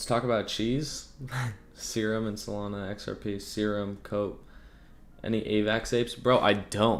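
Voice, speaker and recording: A man's fairly low-pitched voice with monotone, flat intonation. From Germany and West Africa. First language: German. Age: 20s. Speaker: crypto trading streamer. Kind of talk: casual livestream chat. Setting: livestream. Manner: slow.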